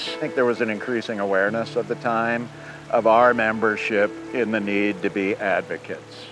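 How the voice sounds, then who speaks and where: Fairly quick, fairly evenly intoned speech from a man over background music. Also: medium pitch for a man. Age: 60s. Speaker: conservation advocate. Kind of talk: interview testimony.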